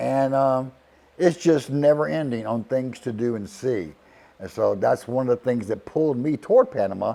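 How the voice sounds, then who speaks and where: Speaking at a moderate pace and medium pitch, a man uses lively intonation in a dark, mellow tone. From US South, Charleston, South Carolina. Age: 60s. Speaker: retiree. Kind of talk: casual testimonial. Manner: halting, with fillers and repetitions.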